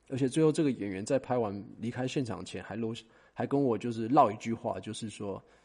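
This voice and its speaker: Over a quiet background, a man's dark, mellow voice moves at a fairly quick pace, with medium pitch and ordinary pitch variation. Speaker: talent agent and podcast host. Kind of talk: solo monologue. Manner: casual, with many fillers.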